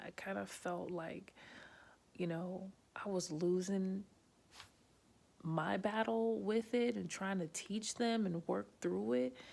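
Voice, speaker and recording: At a very slow pace, a woman with a fairly low pitch speaks with a New Jersey accent and very wide pitch swings. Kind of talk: casual talk to camera. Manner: quieter than usual; direct, many fillers.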